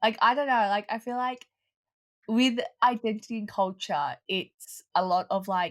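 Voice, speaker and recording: A woman with an Australian accent speaks at a fairly slow pace in a very clean recording with a silent background. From Australia, Melbourne. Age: 20s. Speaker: online community co-founder. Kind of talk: interview. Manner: hesitant, many fillers.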